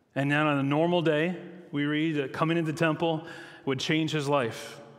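At a fairly quick pace, a man speaks with a fairly high pitch and fairly even intonation, his voice carrying audible room echo. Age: 40s. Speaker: pastor. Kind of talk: sermon.

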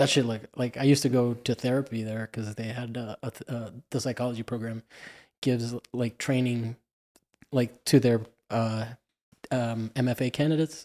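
A man speaks at a moderate pace with a dark, mellow tone, leaving long, frequent pauses. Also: medium pitch for a man, dry, close sound with no echo. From Cuba. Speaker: podcast host. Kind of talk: casual interview chat. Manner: animated, laughs often.

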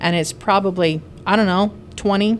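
The pitch varies in an ordinary way, with noticeable background noise behind the voice. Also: woman. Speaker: nurse podcast host. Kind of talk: casual chat. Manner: casual, joking.

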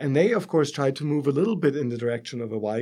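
A man with a German accent and a dark, mellow tone is heard in a very clean recording with a silent background. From Germany. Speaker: professor. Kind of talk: interview.

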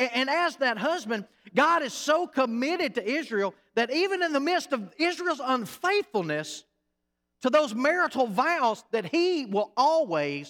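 In a Southern US accent, a man speaks at a fairly slow pace with an extremely high pitch, very wide pitch swings and a bright, sharp, animated tone on a very clean recording with a silent background. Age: 40s. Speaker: pastor. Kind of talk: sermon. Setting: church.

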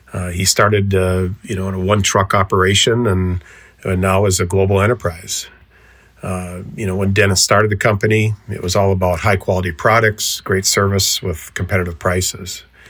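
With an American accent, a man speaks at a moderate pace in a very deep, low pitch and a monotone, flat intonation. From US Upper Midwest, southeastern North Dakota. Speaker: seed treatment account manager. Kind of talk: interview.

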